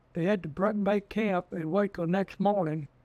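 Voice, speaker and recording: A high-pitched man at a moderate pace, fairly even in intonation, in a dry, close sound with no echo. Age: 80s+. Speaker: retired trapper and dog breeder. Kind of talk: storytelling interview.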